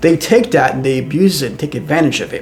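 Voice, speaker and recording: Noticeable background noise runs under speech that has lively intonation and a very fast pace. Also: man. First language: not English. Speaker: AI commentator, show host. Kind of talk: personal commentary monologue. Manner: conversational with frequent repetitions and fillers.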